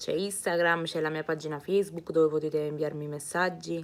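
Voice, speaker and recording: The speaker has an animated tone and keeps a moderate pace. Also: woman. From Naples, Italy. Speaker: singer. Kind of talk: live stream chat reading comments. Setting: live streaming from home. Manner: chatty, animated.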